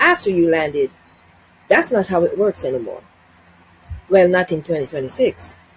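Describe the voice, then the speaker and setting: A woman speaks in a somewhat breathy voice. Her pitch swings very widely. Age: 60s. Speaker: travel vlogger. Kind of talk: informational vlog.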